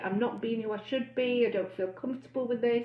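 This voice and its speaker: A woman speaks in a fairly high pitch. Her pitch varies in an ordinary way. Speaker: bariatric weight-loss coach. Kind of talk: live stream talk. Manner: loud and excitable.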